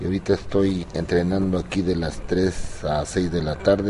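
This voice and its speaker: A man speaks with a very deep, low pitch. Noticeable background noise is present. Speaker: boxing coach, former boxer. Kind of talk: interview.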